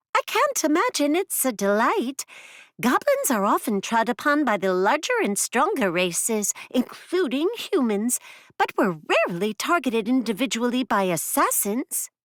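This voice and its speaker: A put-on character voice sits at a fairly high pitch. The pace is moderate. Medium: read story. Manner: prim, haughty.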